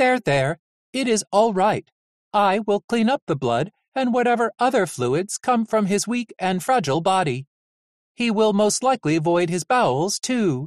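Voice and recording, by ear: Someone performs a put-on character voice at a moderate pace. The background is quiet. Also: man, high pitch for a man.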